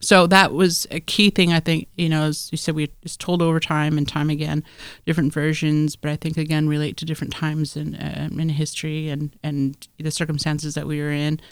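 Her very deep, low voice stays monotone and flat at a fairly quick pace, in an American accent. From Alaska, US (Tlingit village of Hoonah). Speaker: anthropology graduate student. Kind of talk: interview, storytelling. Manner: vivid storyteller.

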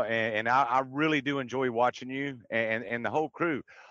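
A man with a Southern US accent speaks at a fairly quick pace in a medium pitch, his tone bright and sharp, with ordinary pitch variation over a quiet background. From Texas. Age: 50s. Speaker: livestream panelist. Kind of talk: casual chat. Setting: in a car.

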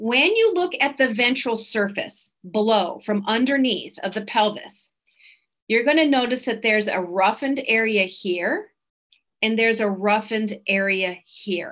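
A woman with an ordinary speaking voice, fairly high pitch and ordinary pitch variation, at a fairly slow pace against a quiet background. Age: 40s. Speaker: equine anatomy educator. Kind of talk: webinar presentation.

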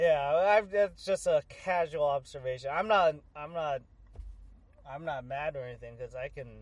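A man with an American accent speaks in a normal speaking voice at a moderate pace. His pitch is fairly high, with ordinary pitch variation and big swings in loudness. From San Jose, California (Bay Area). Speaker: sports podcast co-host. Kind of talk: casual chat.

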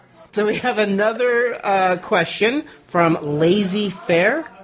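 A high-pitched man's voice with lively intonation at a very slow pace, over noticeable background noise. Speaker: podcast host. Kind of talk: casual chat. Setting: live party at home studio.

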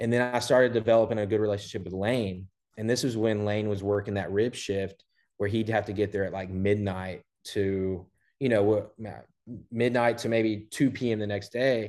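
Against a quiet background, a man with an American accent uses a plain, everyday voice, fairly low in pitch, with fairly even intonation at a moderate pace. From Southeast Texas (Port Neches, near Beaumont). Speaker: barbecue restaurant owner. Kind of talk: casual interview.

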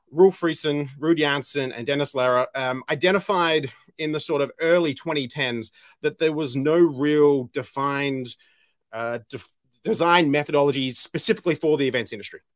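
Dry and close with no echo, the recording catches a man at a fairly high pitch speaking at a moderate pace with ordinary pitch variation. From Australia. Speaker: event industry director. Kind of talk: casual interview.

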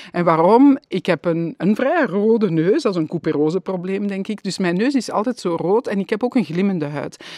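Over a quiet background, a woman with a dark, mellow, medium-pitched voice speaks at a moderate pace with lively intonation and hardly any pauses. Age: 50s. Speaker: wellbeing consultant. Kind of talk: casual interview. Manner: hesitant with many fillers.

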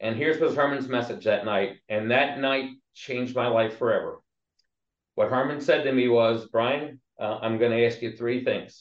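A man with a medium pitch and an unremarkable speaking voice talks at a moderate pace. His intonation stays fairly even. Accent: American. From southeast Pennsylvania, Lancaster area. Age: 60s. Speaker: labor relations executive. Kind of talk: interview.

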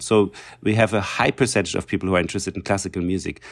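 In a German accent, the speaker keeps a fairly even intonation on a very clean recording with a silent background. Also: man. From East Germany. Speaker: cellist and festival director. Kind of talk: casual interview.

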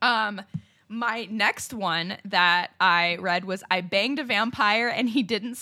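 The pitch varies in an ordinary way through an unforced reading voice.

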